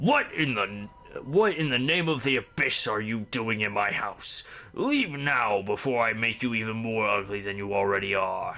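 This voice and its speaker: A booming, put-on character voice from a man, medium in pitch. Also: moderate pace. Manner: threatening.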